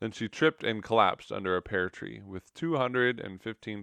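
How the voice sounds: Lively intonation runs through the delivery. It is a natural reading voice.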